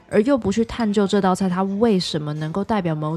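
A woman with an unremarkable speaking voice talks at a fairly quick pace, with ordinary pitch variation. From Taiwan. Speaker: podcast host. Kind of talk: scripted narration.

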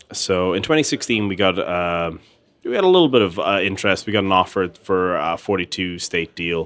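The man's pitch is very deep and low, with ordinary pitch variation. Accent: Irish Midlands. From Ireland, Tullamore, County Offaly. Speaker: gin company founder. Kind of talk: interview. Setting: pub.

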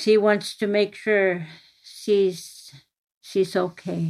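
A woman with an Inuit Canadian accent talks at a very slow pace. Her medium pitch carries fairly even intonation. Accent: Inuktitut-accented English. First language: Inuktitut. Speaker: daughter of the author. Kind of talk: interview.

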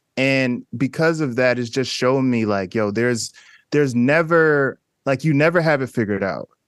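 With an American accent, a man speaks at a medium pitch, the sound dry and close with no echo. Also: ordinary pitch variation, moderate pace. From US Northeast, Newark, New Jersey. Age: 30s. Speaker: photographer. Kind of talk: casual chat.

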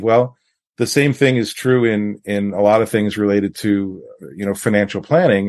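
A man talks at a moderate pace with a medium pitch and ordinary pitch variation. It's an unremarkable speaking voice, heard against a quiet background. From New York. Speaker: financial advisor. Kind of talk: podcast interview.

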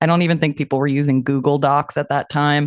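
A woman's very deep, low voice in a monotone, flat delivery, with a dry, close sound, no echo, and a quiet background. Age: 40s. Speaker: roller derby player. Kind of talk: interview.

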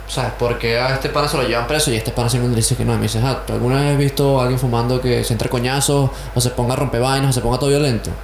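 There is noticeable background noise behind this man. He talks at a very fast pace with very even loudness. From Venezuela (Caracas). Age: 20s. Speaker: musician, drummer. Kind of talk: interview.

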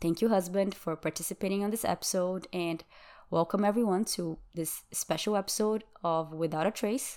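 A woman with a Brazilian accent, fairly even intonation, and a moderate pace. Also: very clean recording, silent background. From Brazil, Sao Paulo. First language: Brazilian Portuguese. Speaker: true crime podcast host. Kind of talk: true crime storytelling.

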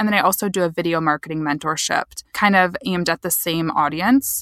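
This woman has a Midwestern American accent and a fairly low pitch. She talks at a fairly quick pace, and the sound is dry and close with no echo. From US Midwest, Michigan. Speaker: social media marketer. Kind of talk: casual interview.

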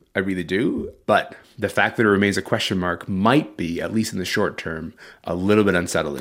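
The recording is very clean, with a silent background. The speech moves at a fairly quick pace. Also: man. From Sudan, moved to Canada at twelve. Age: 30s. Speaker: culture writer and podcast host. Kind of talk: interview.

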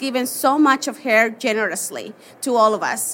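A woman's raised, projected, high-pitched voice in a Mexican accent, at a very slow pace. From Mexico. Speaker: portrait photographer. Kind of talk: live interview. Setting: stage with audience.

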